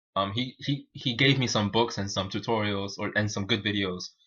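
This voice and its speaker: A man with a Spanish accent speaks at a fairly quick pace in a fairly low pitch, his bright, sharp tone showing ordinary pitch variation against a quiet background. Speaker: programmer streaming live coding. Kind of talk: live coding stream tutorial. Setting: live stream. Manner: halting, many fillers and repeats.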